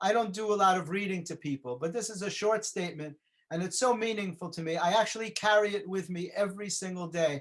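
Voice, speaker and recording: Someone with a New York accent talks at a very fast pace with ordinary pitch variation. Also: man, high pitch for a man. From New York City (the Bronx). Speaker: motivational speaker. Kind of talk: motivational talk.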